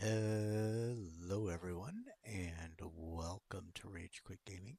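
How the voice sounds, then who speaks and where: A man's very slow, fairly low-pitched voice in a dark, mellow tone, with ordinary pitch variation and a dry, close sound with no echo. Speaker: gaming streamer. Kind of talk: gameplay commentary. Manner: soft-spoken. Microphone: quiet, may need volume up.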